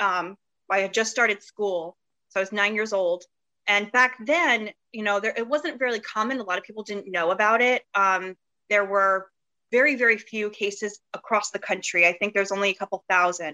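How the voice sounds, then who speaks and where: With a bright, sharp tone at a medium pitch, a woman talks at a fairly quick pace with ordinary pitch variation in a dry, close sound with no echo. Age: 30s. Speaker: interview guest sharing experience of hair pulling disorder. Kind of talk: casual interview chat. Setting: video call.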